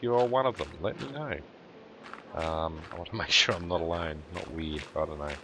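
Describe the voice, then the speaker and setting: Noticeable background noise sits behind a man with a very deep, low voice. He keeps a moderate pace and ordinary pitch variation. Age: 40s. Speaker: gaming YouTuber. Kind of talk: let's play commentary. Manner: halting, many fillers.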